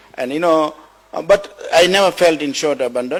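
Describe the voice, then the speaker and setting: Noticeable background noise sits behind a man whose fairly high voice has lively intonation. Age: 60s. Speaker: motivational speaker. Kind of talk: motivational talk. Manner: halting, repeats words.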